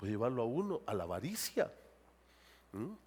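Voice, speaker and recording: With vocal fry and very wide pitch swings, a man speaks at a moderate pace in a very clean recording with a silent background. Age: 60s. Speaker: pastor. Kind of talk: sermon.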